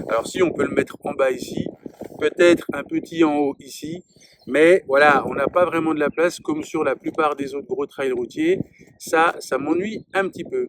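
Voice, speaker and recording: The sound is dry and close, with no echo. A man with a fairly high voice speaks at a moderate pace with fairly even intonation. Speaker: motorcycle reviewer. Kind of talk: product review. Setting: outdoors. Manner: loud.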